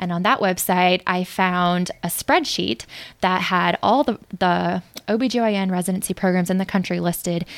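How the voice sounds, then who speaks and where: A woman speaks at a fairly slow pace and medium pitch with ordinary pitch variation. She has an unremarkable speaking voice. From US Midwest, St. Louis. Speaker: new medical graduate, incoming OB/GYN resident. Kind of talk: interview.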